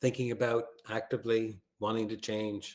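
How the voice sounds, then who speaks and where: A man speaks with a Canadian accent. His intonation is monotone and flat. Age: 60s. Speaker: branding expert. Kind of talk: webinar presentation. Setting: video call webinar.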